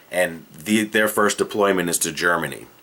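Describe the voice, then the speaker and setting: This man has a Boston accent. His intonation stays fairly even. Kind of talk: casual comedic movie pitch to camera.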